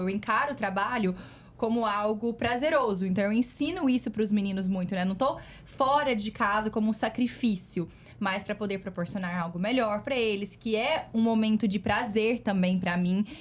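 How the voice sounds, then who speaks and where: A woman's somewhat breathy voice sits fairly high, moving at moderate speed with ordinary rises and falls in pitch. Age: 30s. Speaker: guest, host's daughter. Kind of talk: casual family chat.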